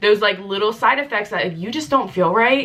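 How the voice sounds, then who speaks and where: A woman's animated tone with very wide pitch swings, over noticeable background noise. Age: 30s. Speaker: lifestyle vlogger. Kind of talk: casual chat.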